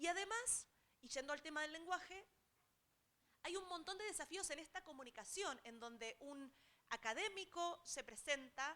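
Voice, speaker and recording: A woman with an Argentine accent speaks in a raised, projected voice at an extremely high pitch, with a bright, sharp tone. Her intonation is lively, her pace moderate, and her pauses long and frequent. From Argentina. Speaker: technology transfer specialist. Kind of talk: seminar talk.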